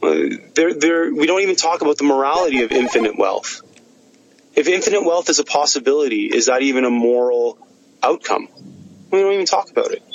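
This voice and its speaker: There is noticeable background noise behind a man talking. He moves at a fairly quick pace with very even loudness. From Egypt-born, raised in Canada. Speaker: scientist and innovation entrepreneur. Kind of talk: interview conversation. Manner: halting, many fillers.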